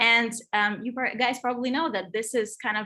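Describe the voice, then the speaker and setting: Recorded very cleanly against a silent background, a woman speaks at a moderate pace with a slight non-native accent. Her fairly high voice has a bright, sharp tone and ordinary pitch variation. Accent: European accent, slight. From Europe. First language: not English. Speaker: digital design and Web3 consultant. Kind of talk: presentation.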